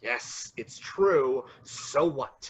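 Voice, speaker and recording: A man performs a put-on character voice at a medium pitch. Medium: audio drama. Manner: peevish, whiny.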